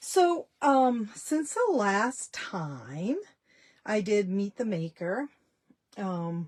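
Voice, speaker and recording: A woman's somewhat breathy voice at medium pitch, very slow, with very wide pitch swings. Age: 60s. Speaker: small business owner, dressmaker. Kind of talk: live stream chat. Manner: casual, halting with fillers.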